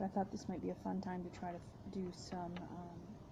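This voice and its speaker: With vocal fry and a dark, mellow tone, a woman speaks at a fairly low pitch in monotone, flat intonation. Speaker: graduate student. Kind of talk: casual talk to camera. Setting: workplace with fan noise. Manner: soft-spoken, rambling.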